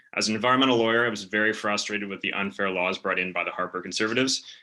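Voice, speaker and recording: A man with a western Canadian accent speaks at a very fast pace with fairly even intonation. His voice is fairly low, with a bright, sharp tone. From western Canada, West Vancouver. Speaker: political candidate. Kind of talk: campaign speech. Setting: video call.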